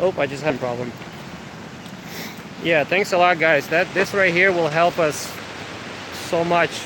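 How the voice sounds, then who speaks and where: A man speaks at a fairly high pitch and a moderate pace. Noticeable background noise is present. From Ukraine. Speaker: coffee business owner. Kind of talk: live stream chat. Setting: outdoors. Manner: hesitant, many fillers.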